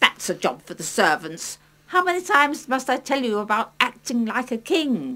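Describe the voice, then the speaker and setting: A woman's cartoonish character voice, high in pitch, at a moderate pace. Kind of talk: children's puppet play. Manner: bossy, scolding, nagging.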